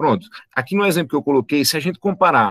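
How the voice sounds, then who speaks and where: A man's voice comes across with a dry, close sound with no echo. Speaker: biology teacher. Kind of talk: online lecture. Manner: fast.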